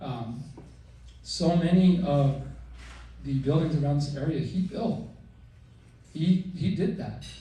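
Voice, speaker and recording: A man's fairly high, dark, mellow voice with vocal fry, a very slow pace, long, frequent pauses and audible room echo. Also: ordinary pitch variation. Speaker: son of the deceased. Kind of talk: eulogy. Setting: memorial service with PA system. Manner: loud.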